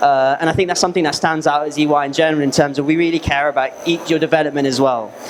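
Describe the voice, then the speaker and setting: Over noticeable background noise, a man rushes along at a very fast pace with hardly any pauses, his fairly high voice held to fairly even intonation. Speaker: apprentice in finance, former footballer. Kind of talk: presentation to school students. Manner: loud.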